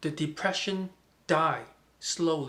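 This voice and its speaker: In a Chinese accent, a man speaks at a very slow pace with a high pitch. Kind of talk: casual talk to camera.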